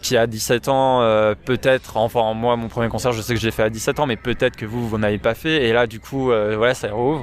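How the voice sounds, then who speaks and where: Noticeable background noise around a man's moderately paced speech. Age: 20s. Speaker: podcast guest, music fan. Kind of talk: casual chat.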